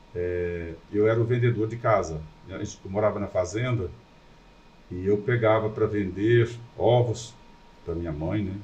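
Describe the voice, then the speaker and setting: Fairly slow and low, a man's voice carries ordinary pitch variation and long, frequent pauses, with audible room echo. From Brazil, Goiás (rural). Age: 60s. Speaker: businessman. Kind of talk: podcast interview.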